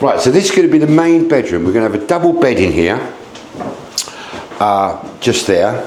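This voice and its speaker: Noticeable background noise and audible room echo around a man going at a moderate pace. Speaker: B&B owner giving a home tour. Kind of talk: casual video tour. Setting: outdoors then indoors, rain starting. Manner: loud; animated.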